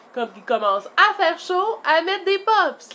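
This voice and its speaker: A woman with a Quebec accent talks at a fairly slow pace, her pitch swinging very widely, over noticeable background noise. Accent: Québécois French. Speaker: vlogger, mother. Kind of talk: casual vlog. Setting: at home. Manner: hesitant with fillers.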